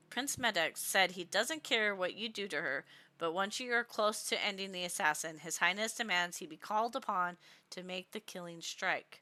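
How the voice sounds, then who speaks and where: A woman's put-on character voice, mumbling at a moderate pace and a medium pitch. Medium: read story. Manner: mumbling, flat.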